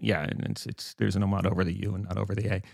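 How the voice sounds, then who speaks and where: A man speaks with vocal fry. The recording is very clean and dry, close-miked with no echo and a silent background. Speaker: podcast co-host and journalist. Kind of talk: casual discussion. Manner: animated.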